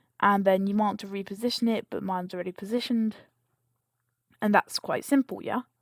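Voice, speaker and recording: Speaking at a fairly quick pace yet with long, frequent pauses, a woman keeps a medium pitch and fairly even intonation. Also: dry, close sound with no echo. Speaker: game modding tutorial creator. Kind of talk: screen-recorded tutorial. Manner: casual, self-correcting.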